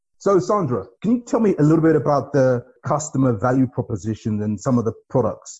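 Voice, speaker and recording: The background is quiet as a man speaks with a fairly high pitch. His tone is dark, mellow and somewhat breathy. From not Nigeria; once lived there a few years. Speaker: podcast host and bank executive. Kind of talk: interview.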